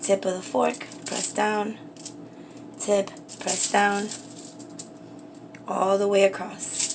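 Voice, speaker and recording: A woman whispering at a very slow pace, with long, frequent pauses over noticeable background noise. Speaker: beauty and craft livestreamer. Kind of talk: live cooking stream.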